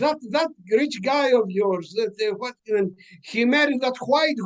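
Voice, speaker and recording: Speaking very slowly with a Greek accent, a man lets his pitch swing very widely. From Greece (Mount Pelion village). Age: 80s+. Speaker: author. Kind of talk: interview conversation. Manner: halting with fillers.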